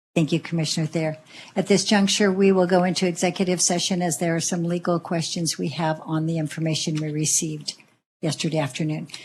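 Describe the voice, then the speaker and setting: Very fast, somewhat breathy speech in a flat monotone. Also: woman, fairly low pitch for a woman. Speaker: planning commission chair. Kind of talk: public meeting chairing. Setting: public hearing, partly online. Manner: soft-spoken; formal.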